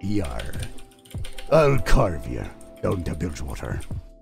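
A man's put-on character voice, very deep and low, with very wide pitch swings and a fairly slow pace over clear background music. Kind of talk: gruff pirate speech.

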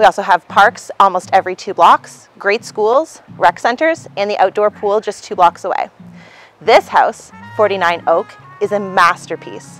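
Over faint background music, a woman talks at a moderate pace in a dry sound with no echo. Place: street.

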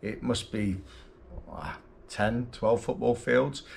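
A man's fairly even intonation over light background noise. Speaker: travel vlogger. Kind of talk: casual vlog chat. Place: home room. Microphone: phone near.

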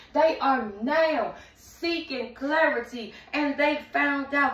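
A woman speaks in a raised, projected voice at a very slow pace, with audible room echo. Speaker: tarot reader. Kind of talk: tarot reading commentary. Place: home room.

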